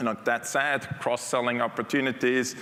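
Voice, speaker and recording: Speaking at a fairly quick pace with a non-native accent, a man uses a medium pitch against noticeable background noise. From Switzerland. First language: not English (English is third language). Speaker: technology executive. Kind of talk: conference keynote. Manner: conversational, with fillers.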